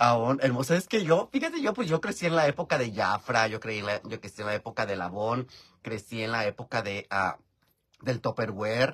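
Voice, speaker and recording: In a Mexican accent, a man talks in an animated tone with ordinary pitch variation. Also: moderate pace, quiet background. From rural Mexico. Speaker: YouTuber live-streaming while doing makeup. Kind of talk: casual live-stream chat. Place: home room. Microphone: phone near.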